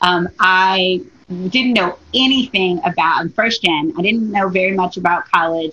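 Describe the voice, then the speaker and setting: A woman speaks with an American accent in a normal speaking voice. Her pace is fairly slow and her loudness very even. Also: medium pitch for a woman, ordinary pitch variation. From Detroit, Michigan. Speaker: diversity and inclusion consultant. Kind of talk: interview.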